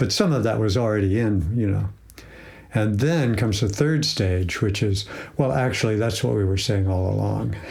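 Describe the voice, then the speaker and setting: In a room with audible echo, a man with a fairly low, somewhat breathy voice speaks at a moderate pace, with ordinary pitch variation and very even loudness. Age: 70s. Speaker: psychologist and institute president. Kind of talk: interview. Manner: halting, with many fillers.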